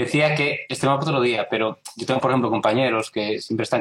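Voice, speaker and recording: Somewhat breathy, a man talks at a very fast pace. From Galicia, Spain (A Guarda). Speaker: software developer. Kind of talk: casual chat. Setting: video call.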